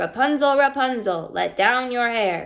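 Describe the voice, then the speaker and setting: A woman performs a put-on character voice. It is high-pitched and shrill. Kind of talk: bedtime story. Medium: read story. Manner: menacing.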